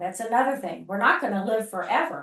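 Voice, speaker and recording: This is a plain, everyday voice. A woman speaks at a fairly high pitch with ordinary pitch variation. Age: 60s. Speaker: gerontologist. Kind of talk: presentation to a networking group. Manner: conversational.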